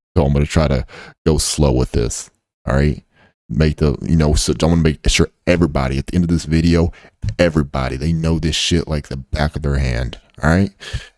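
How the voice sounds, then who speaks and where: At a fairly quick pace, a man speaks in a very deep, low pitch with an animated tone. The sound is dry and close, with no echo. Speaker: trading educator. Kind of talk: tutorial. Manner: fast.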